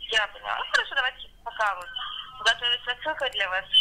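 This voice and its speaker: Here a woman talks at a very fast pace. Her voice is high-pitched. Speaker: caller.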